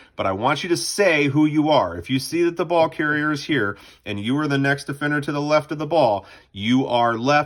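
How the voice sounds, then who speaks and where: In a very clean recording over a silent background, a man speaks in a fairly high voice. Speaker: lacrosse coach. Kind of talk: tutorial. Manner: fast.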